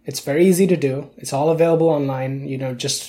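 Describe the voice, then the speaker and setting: A man speaks at a moderate pace in a fairly high pitch, his somewhat breathy voice dark and mellow in tone, with ordinary pitch variation. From India. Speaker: video game enthusiast. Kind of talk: casual chat. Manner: halting.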